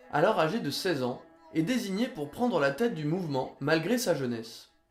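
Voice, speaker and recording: Music plays behind a man with a high pitch. He speaks at a moderate pace with very wide pitch swings. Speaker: history video narrator. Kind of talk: educational history narration.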